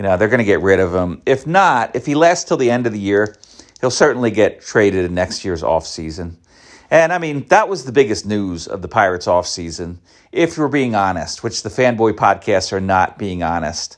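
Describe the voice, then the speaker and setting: A man speaks at a fairly low pitch. His pitch swings very widely. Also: moderate pace. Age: 50s. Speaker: sports podcaster. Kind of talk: casual solo podcast. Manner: rambling with many fillers.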